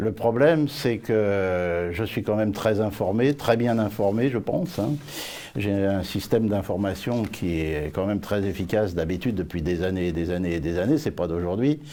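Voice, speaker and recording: A man's fairly low voice with lively intonation at a moderate pace, over noticeable background noise. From Paris region, France. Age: 70s. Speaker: parliamentary candidate. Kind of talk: interview. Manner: hesitant, many fillers.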